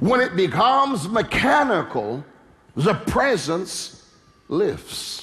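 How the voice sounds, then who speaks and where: A man talks at a very slow pace. His pitch is high and swings very widely. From London, England. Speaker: preacher, minister. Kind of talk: sermon preached to a congregation. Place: church. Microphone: headset.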